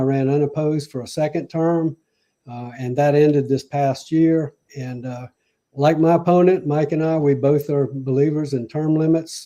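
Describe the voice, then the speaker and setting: A man with a South Carolina Lowcountry accent, a fairly high pitch, a dark, mellow tone, fairly even intonation and a moderate pace. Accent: Southern US (South Carolina Lowcountry). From US South, Charleston, South Carolina. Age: 70s. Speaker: mayoral candidate. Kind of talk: interview. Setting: live radio/stream interview.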